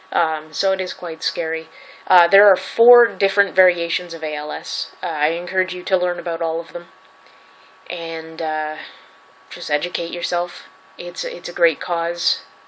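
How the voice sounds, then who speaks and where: The voice keeps a monotone, flat intonation at a moderate pace, with big swings in loudness. There is noticeable background noise. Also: woman, fairly low pitch for a woman. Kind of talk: casual talk to camera. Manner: stuttering.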